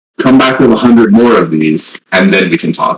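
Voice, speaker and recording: Putting on a character voice, a man talks at a medium pitch and a moderate pace. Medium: actual play.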